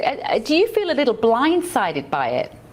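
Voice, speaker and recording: With a British accent, a woman talks at a moderate pace. Her pitch swings very widely. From United Kingdom. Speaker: news show host. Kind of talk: live news interview.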